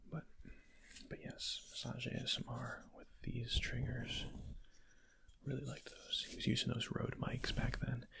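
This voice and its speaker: Whispering at a fairly slow pace, broken by long, frequent pauses. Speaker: ASMR creator. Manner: soft-spoken.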